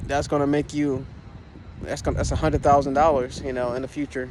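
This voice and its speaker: A man talks at a very fast pace. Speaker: bitcoin vlogger. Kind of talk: casual vlog monologue. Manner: halting, many fillers and restarts.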